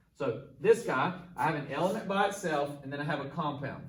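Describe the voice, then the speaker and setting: At a fairly quick pace, a man speaks with lively intonation amid noticeable background noise and audible room echo. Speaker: chemistry teacher. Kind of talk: tutorial. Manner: fast.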